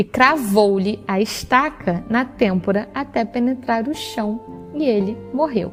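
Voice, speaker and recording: A woman in a Rio de Janeiro accent at a very slow pace, with music in the background. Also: fairly high pitch for a woman, ordinary pitch variation. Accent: Brazilian Portuguese, Rio de Janeiro. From Rio de Janeiro, Brazil. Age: 20s. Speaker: teacher. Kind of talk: Bible reading.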